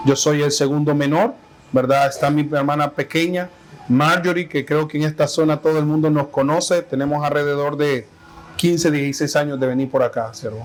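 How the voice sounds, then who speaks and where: A man talks at a moderate pace, his fairly high pitch held to fairly even intonation, while noticeable background noise continues. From Honduras, Tegucigalpa. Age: 30s. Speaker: pastor. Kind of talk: interview testimony. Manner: hesitant, with fillers and repetitions.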